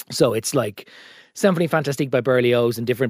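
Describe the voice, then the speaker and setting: This man talks with an Irish accent. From Ireland, County Meath. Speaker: political journalist. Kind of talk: casual chat.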